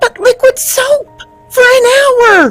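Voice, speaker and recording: A woman's put-on character voice, squeaky and extremely high, with fairly even intonation, dry, close sound with no echo, and faint music in the background. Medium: audio drama.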